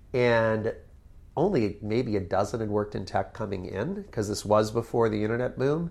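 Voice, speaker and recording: With an American accent, a man talks at a moderate pace and a medium pitch. He has an ordinary speaking voice, and the background is quiet. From Connecticut, US Northeast. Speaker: tech entrepreneur and author. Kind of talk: interview.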